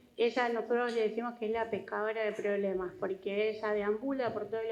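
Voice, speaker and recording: A woman's fairly high voice with audible room echo. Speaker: hospital director. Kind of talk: conference presentation.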